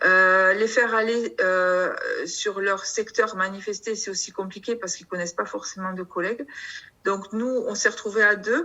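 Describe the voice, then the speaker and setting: A woman with a southern French accent, fairly even intonation and a fairly slow pace, with noticeable background noise. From southern France, Perpignan area. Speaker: customs officer and union representative. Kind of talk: union video meeting discussion. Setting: video call. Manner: halting, many hesitations.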